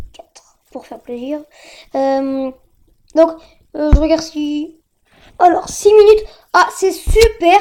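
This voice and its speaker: In an extremely high pitch with a dark, mellow tone, a woman speaks at a very slow pace with ordinary pitch variation. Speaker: gaming youtuber. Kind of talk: gameplay commentary. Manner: animated.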